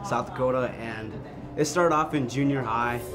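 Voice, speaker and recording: A man speaks with ordinary pitch variation. Clear music plays in the background. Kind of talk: interview answer. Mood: relaxed, fond.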